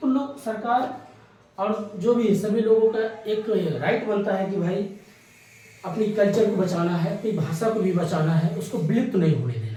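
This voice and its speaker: Over noticeable background noise and audible room echo, a man speaks in a high voice with ordinary pitch variation. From India, Awadh region (Ayodhya belt, Uttar Pradesh). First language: Awadhi (speaking Hindi). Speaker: exam coaching teacher. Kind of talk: lecture. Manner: conversational, explanatory.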